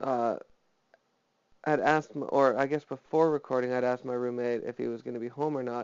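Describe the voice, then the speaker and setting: This man speaks at a medium pitch in a monotone, flat intonation. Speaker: vlogger. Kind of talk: personal monologue vlog. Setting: home, alone. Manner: flat, little inflection; hesitant, many fillers.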